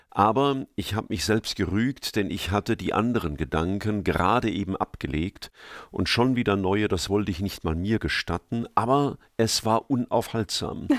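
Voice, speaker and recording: In a very clean recording with a silent background and a dry, close sound with no echo, a man with a normal speaking voice and fairly low pitch talks at a moderate pace with ordinary pitch variation. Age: 60s. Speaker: preacher. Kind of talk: interview. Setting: studio.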